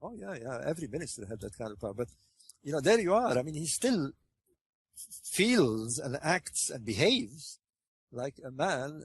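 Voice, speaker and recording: The voice is somewhat breathy and moves at a moderate pace with long, frequent pauses, big swings in loudness and very wide pitch swings. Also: man, fairly high pitch for a man. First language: French. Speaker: interviewee, researcher on ancient Egypt. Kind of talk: interview conversation. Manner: hesitant, many fillers and repetitions.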